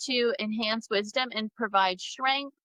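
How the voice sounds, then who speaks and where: Fairly even intonation from a woman with an American accent. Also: dry, close sound with no echo. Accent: Southern US, comes out strongly on some words. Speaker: pagan livestream co-host. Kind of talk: casual live-stream chat. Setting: Facebook live stream.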